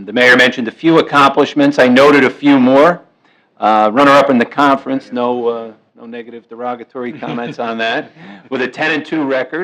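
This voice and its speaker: A man at medium pitch, fairly quick, with big swings in loudness. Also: fairly even intonation. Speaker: township committeeman and recreation director. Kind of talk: public meeting remarks. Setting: municipal meeting room.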